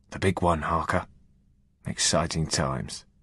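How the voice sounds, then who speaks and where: A man's put-on character voice, raspy and very deep, at a moderate pace over a quiet background. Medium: read story.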